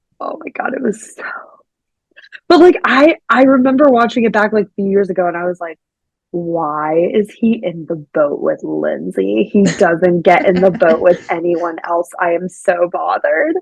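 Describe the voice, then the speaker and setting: A woman with an ordinary speaking voice and an American accent, medium pitch, lively intonation, big swings in loudness, moderate pace, and a dry, close sound with no echo. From Pittsburgh, Pennsylvania. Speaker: podcast host. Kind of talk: casual podcast conversation.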